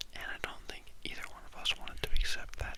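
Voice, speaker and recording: A man is speaking. He whispers throughout. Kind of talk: casual talk to camera, personal ramble. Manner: whispered, soft-spoken.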